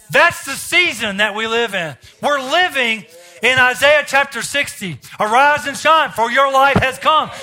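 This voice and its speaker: An American man speaks at a fairly slow pace with an extremely high pitch. His raised, projected voice shows ordinary pitch variation. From US South. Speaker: visiting preacher. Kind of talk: sermon; fervent closing prayer and blessing declaration over the congregation. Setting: church service with congregation. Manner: rhythmic, repetitive declarations with call-and-response prompts to the crowd.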